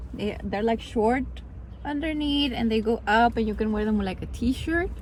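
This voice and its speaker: Speaking with a Spanish accent at a fairly quick pace, a woman is heard over noticeable background noise. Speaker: vlogger and graduate student. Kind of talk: casual vlog talk to camera. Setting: in a car.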